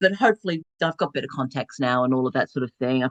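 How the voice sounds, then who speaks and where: With lively intonation, a woman speaks in an Australian accent. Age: 60s. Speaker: novelist. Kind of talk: interview.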